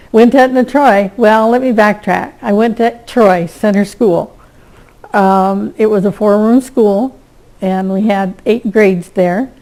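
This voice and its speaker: A woman with a Midwestern American accent, fairly high in pitch, at a fairly slow pace with fairly even intonation. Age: 80s+. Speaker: local elder interviewee. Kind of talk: oral history interview. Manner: hesitant, with fillers.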